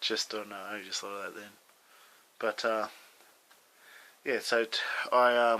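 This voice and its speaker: A man with an Australian accent speaks fairly slowly in a bright, sharp tone and monotone, flat intonation, with long, frequent pauses and big swings in loudness. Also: medium pitch for a man. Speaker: vlogger, ski resort lift worker. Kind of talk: casual video diary. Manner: hesitant, many fillers.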